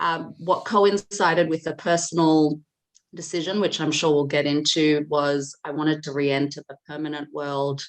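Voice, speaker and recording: A woman speaks with an Australian accent at a moderate pace. Her pitch is very deep and low, with fairly even intonation. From Australia, Sydney. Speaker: data governance specialist and founder. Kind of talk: podcast interview.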